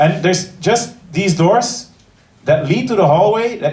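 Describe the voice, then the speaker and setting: Intonation stays lively as the speaker, with an Antwerp accent, moves at a very slow pace. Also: man. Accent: Flemish Belgian (Antwerp). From Belgium, Antwerp. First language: Dutch. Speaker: comedian. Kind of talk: stand-up. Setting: stage with audience. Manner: halting.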